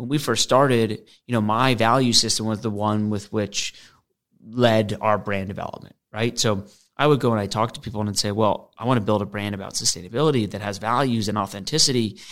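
A man with an American accent and an unremarkable speaking voice talks at a fairly quick pace and fairly low pitch with fairly even intonation, in a very clean recording with a silent background. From US Northeast, Westport, Connecticut. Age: 30s. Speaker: entrepreneur. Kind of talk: interview. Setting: studio.

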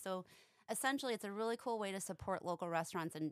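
A woman talks at a fast pace. Her tone is clear and smooth, with ordinary pitch variation.

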